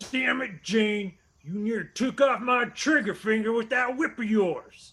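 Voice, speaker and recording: A man puts on a character voice, high in pitch, at a fairly slow pace with ordinary pitch variation. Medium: audio drama. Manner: surly, cursing.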